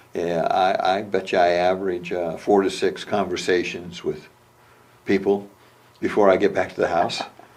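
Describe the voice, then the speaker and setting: A man with an American accent keeps a moderate pace as noticeable background noise carries on around him. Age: 70s. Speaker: amateur historian. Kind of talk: oral history interview. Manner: halting, many fillers.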